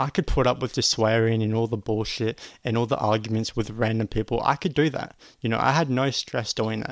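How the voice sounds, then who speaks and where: A man with an Australian accent at a fairly quick pace, in a very clean recording with a silent background and a dry, close sound with no echo. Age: 20s. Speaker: podcast host, online business coach. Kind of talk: motivational monologue. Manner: energetic.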